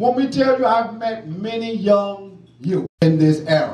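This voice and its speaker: A man speaks loudly and fairly slowly in a high voice, with audible room echo and noticeable background noise. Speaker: criminal justice activist, former prisoner. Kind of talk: award acceptance speech. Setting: award ceremony with audience. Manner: impassioned.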